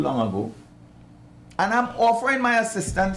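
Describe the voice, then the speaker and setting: A man speaks with a Trinidadian accent and very wide pitch swings. Audible room echo surrounds his voice. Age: 70s. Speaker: boxing coach. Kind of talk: talk show interview. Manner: animated.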